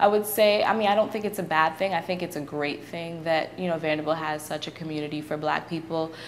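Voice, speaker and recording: Against noticeable background noise, a woman with an American accent and a fairly low pitch talks at a very fast pace with hardly any pauses and fairly even intonation. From Brooklyn, New York. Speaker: university student. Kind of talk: interview answer.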